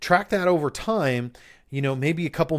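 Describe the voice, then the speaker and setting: In an American accent, a man with an ordinary speaking voice talks at a moderate pace with ordinary pitch variation. The recording is very clean, with a silent background. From upstate New York. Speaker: podcast host, business coach. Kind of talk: solo podcast monologue on business marketing. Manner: casual, conversational with filler words.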